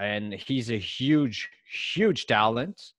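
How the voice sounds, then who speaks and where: A man with a French accent at a very slow pace, with ordinary pitch variation, on a very clean recording with a silent background. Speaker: sports card investor co-host. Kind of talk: casual chat.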